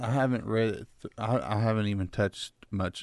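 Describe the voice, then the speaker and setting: A man's fairly low-pitched, plain, everyday voice at a fairly quick pace, over a quiet background. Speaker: pastor. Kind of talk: casual morning radio talk.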